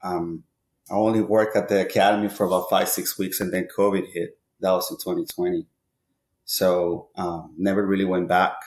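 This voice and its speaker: In a Spanish accent, a man of fairly low pitch speaks at a moderate pace with fairly even intonation on a very clean recording with a silent background. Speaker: baseball hitting coach. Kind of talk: podcast interview. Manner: hesitant, many fillers.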